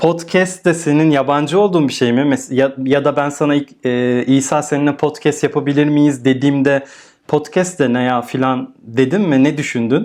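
In a normal speaking voice, a man talks at a fairly high pitch and moderate pace, with fairly even intonation, very even loudness and hardly any pauses. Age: 30s. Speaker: podcast host. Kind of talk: casual interview.

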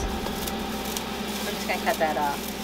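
A woman is speaking. There is noticeable background noise. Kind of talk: casual vlog chat. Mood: relaxed, cheerful. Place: garden.

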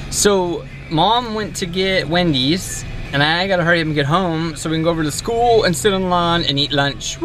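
A man talks at a moderate pace with ordinary pitch variation, his dry sound free of echo, as faint music plays in the background. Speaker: family vlogger. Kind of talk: casual vlog chat.

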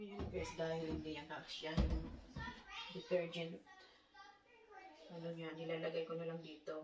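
Over crowd noise, a woman speaks at a moderate pace in a fairly low, monotone, flat voice. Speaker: home vlogger. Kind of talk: casual vlog chat. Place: home room.

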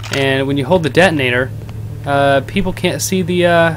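A man speaks with ordinary pitch variation. Light background noise sits behind him. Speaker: streamer. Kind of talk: gameplay commentary. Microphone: headset.

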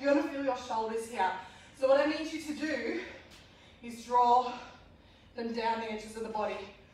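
This woman talks at a moderate pace in a high voice with ordinary pitch variation, and strong room echo surrounds her. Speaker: fitness instructor. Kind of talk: workout class instruction. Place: gym. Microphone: camera far.

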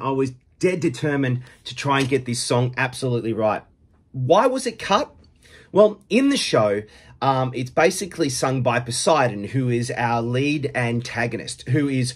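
Against a quiet background, a man speaks at a moderate pace with ordinary pitch variation. His voice is somewhat breathy. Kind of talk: casual vlog chat. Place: home room. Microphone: phone near.

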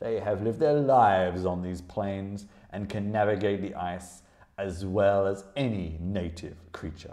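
An unforced reading voice fills this clip.

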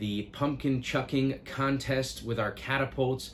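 A man talks at a fairly slow pace in a somewhat breathy voice. Light background noise sits under the speech. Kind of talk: announcement vlog to families. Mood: warm, grateful. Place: office.

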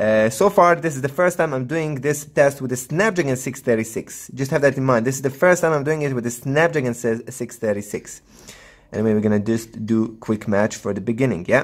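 Against a quiet background, a man talks at a moderate pace. His intonation is lively. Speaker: tech reviewer. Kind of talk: tutorial commentary. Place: home room.

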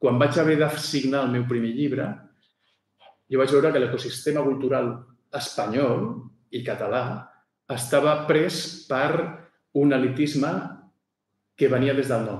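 Pausing long and often, a man talks at a fairly slow pace in a fairly high, somewhat breathy voice with fairly even intonation and audible room echo. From Barcelona, Catalonia. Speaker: author. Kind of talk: book presentation talk. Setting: venue with live audience. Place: hall. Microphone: podium.

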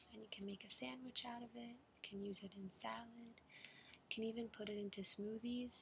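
The speaker is soft-spoken with a gentle tone at a moderate pace. There is light background noise. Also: woman. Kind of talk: role-play consultation, advice. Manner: soft-spoken, gentle ASMR voice. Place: home room. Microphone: webcam.

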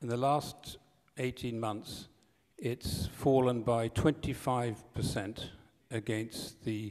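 In an English accent, a man speaks with fairly even intonation. The background is quiet. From Britain. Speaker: journalist. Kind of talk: conference talk. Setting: stage with audience. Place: hall. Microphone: podium.

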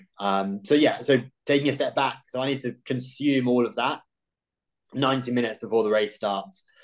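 In a British accent, a man talks fairly quickly with ordinary pitch variation against a quiet background. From UK. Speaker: professional ultrarunner. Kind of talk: interview. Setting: video call. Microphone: video call.

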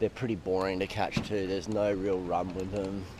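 Speaking at a moderate pace, a man has a low pitch and a slightly mellow tone.

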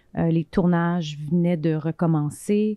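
Against a quiet background, a woman speaks fairly slowly in a fairly low pitch with ordinary pitch variation and a dry sound with no echo. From Quebec. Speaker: film director; guest. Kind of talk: interview. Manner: halting, many fillers and repetitions. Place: home room. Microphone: handheld.

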